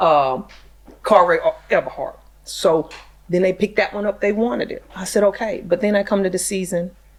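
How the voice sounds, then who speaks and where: A woman of medium pitch with a Southern US accent, at a moderate pace with long, frequent pauses. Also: ordinary pitch variation. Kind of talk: casual interview chat.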